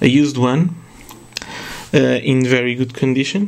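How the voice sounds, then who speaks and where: Against noticeable background noise, a man speaks with a non-native accent at a moderate pace. His pitch is medium, with ordinary variation. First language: not English. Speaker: retro game collector, YouTuber. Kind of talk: casual video monologue. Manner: halting, many fillers.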